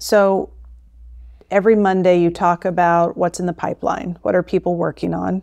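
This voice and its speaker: A woman with an American accent speaks at a fairly low pitch and a moderate pace. Her intonation is fairly even, and the sound is dry and close with no echo. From Florida, US (St. Pete Clearwater area). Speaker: investment strategist. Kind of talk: interview.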